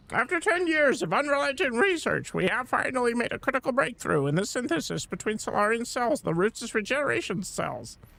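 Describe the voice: A man puts on a croaky character voice, extremely high in pitch with very wide pitch swings, at a fairly quick pace.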